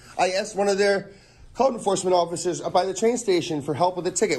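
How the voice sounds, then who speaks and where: A loud man at a very fast pace. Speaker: first amendment auditor. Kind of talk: heated argument. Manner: agitated.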